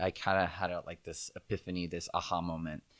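A man speaks in an American accent. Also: very clean recording, silent background. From Southern California. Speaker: actor and figure skater. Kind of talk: interview conversation.

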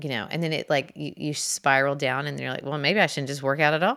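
A bright, sharp tone with vocal fry moves at a fairly quick pace and fairly even intonation on a very clean recording with a silent background. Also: woman. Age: 40s. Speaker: podcast host and fitness instructor. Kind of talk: solo podcast monologue. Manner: casual, chatty with many fillers.

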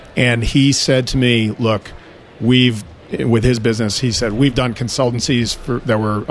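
Medium pitch from a man with an American accent, at a moderate pace, over noticeable background noise. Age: 50s. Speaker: auto repair shop owner. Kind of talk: interview.

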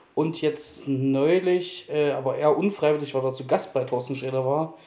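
Using a plain, everyday voice, a man talks at a moderate pace and a fairly high pitch with fairly even intonation. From Thuringia, Germany. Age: 30s. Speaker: podcast guest. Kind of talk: personal testimony.

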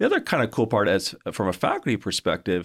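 A man with a Canadian accent speaks in a normal speaking voice at a fairly low pitch and a fairly quick pace, on a very clean recording with a silent background. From Canada. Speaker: university provost. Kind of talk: casual interview.

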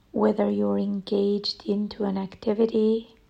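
A woman's calm, gentle tone at medium pitch, with fairly even intonation and noticeable background noise. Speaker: meditation guide. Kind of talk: guided meditation. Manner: slow, soft and soothing, with long pauses between phrases; calm, gentle and even in tone, with an unhurried, reassuring delivery.

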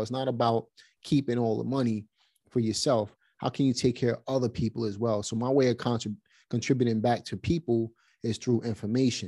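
A dark, mellow voice with a Brooklyn accent speaks at a fairly quick pace in a monotone, flat intonation. The recording is very clean, with a silent background. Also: man. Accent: New York (Brooklyn). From Brooklyn, New York. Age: 40s. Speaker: real estate investor. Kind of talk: interview conversation. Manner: casual, frequent fillers.

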